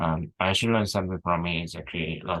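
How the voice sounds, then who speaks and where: In a dry, close sound with no echo and a quiet background, a man speaks with a very deep, low voice and fairly even intonation. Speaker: researcher presenting paper notes. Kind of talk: technical paper walkthrough. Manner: slow, careful; halting, many fillers.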